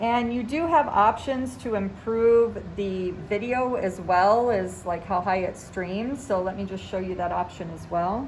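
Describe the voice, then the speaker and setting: Noticeable background noise and audible room echo surround a woman's voice. She talks at a fairly slow pace, fairly high in pitch with ordinary variation. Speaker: teacher giving tech training to colleagues. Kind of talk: tutorial. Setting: classroom. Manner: loud.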